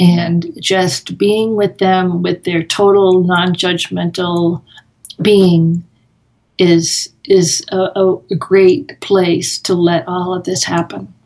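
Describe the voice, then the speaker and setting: At a very slow pace, a woman speaks with an American accent. Her pitch is medium and her intonation fairly even. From US Northeast (Massachusetts). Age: 60s. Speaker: author and meditator. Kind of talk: interview.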